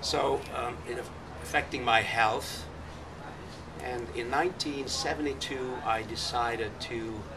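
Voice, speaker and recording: At a fairly slow pace, a man with a medium pitch speaks amid audible room echo and noticeable background noise. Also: ordinary pitch variation. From Budapest, Hungary. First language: Hungarian. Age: 70s. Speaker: nonprofit founder, activist. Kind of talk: public talk to activist group.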